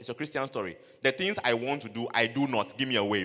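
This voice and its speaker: A man with a Ghanaian accent, bright and sharp in tone, speaking at a very fast pace. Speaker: preacher. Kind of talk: sermon. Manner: animated.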